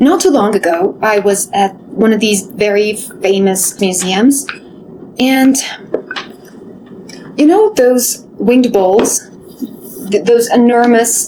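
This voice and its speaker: Over noticeable background noise, a fairly high-pitched woman talks at a very slow pace with ordinary pitch variation. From Middle East. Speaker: former curator, storyteller. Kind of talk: video essay, personal storytelling.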